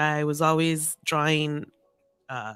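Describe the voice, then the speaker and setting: A woman's very deep, low voice with a bright, sharp tone and an American accent, at a very slow pace over a very clean, silent background. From Los Angeles, Salvadoran family. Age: 40s. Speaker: podcast guest. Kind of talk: casual chat.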